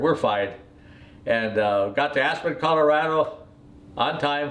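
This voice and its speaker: Fairly high male speech, with room echo clearly audible. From US Midwest, Wisconsin. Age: 80s+. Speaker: retired airline pilot. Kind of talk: life story telling. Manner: halting, many fillers.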